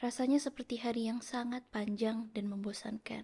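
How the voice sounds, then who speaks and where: Soft-spoken and somewhat breathy, a woman talks at a moderate pace in a fairly high voice with a dark, mellow tone and monotone, flat intonation. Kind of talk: audiobook narration.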